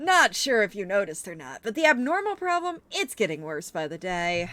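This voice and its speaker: A woman performs a put-on character voice at a moderate pace, with very wide pitch swings. The recording is very clean, with a silent background. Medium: game stream. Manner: breezy, joking.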